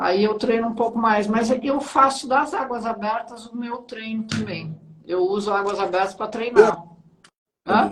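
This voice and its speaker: Speaking at a fairly slow pace, a woman has a normal speaking voice, fairly high in pitch, with fairly even intonation. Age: 60s. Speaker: interviewer. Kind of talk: interview. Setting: livestream.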